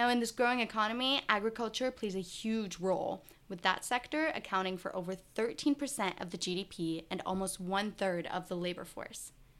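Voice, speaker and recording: A woman talks in a normal speaking voice at a medium pitch and moderate pace, with ordinary pitch variation. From grew up in the US, born in Israel. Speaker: podcast host. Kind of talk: scripted narration; interview.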